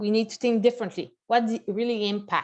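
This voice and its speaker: A woman talks at a fairly quick pace with a Quebec accent. Her voice sits fairly high. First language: French. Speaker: bank executive. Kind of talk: presentation. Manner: halting.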